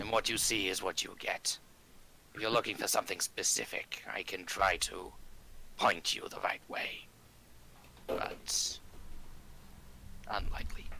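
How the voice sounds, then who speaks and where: A man whispers in a raspy, put-on character voice at a moderate pace with long, frequent pauses, over clear background noise. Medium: actual play. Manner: terse, clipped sentences.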